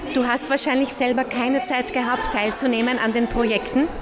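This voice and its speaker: A woman speaks in a high pitch, with noticeable background noise and audible room echo around her. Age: young. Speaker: social worker. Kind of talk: interview. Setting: outdoor festival.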